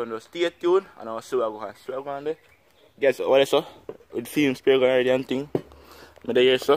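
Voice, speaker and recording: A man with a Jamaican accent speaks at a moderate pace with long, frequent pauses and big swings in loudness over light background noise. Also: ordinary pitch variation. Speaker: spearfishing video creator. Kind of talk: casual tutorial vlog. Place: garden. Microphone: phone near.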